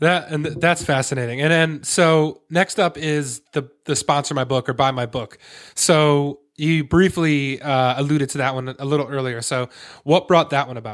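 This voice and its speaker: On a very clean recording with a silent background, a man with an unremarkable speaking voice and a fairly high pitch talks at a moderate pace. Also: ordinary pitch variation. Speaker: podcast host. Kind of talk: casual interview chat.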